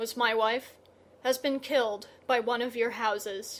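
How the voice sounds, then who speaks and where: Raspy and monotone, this put-on character voice keeps a moderate pace with flat intonation. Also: woman, fairly high pitch for a woman. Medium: read story. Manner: quiet.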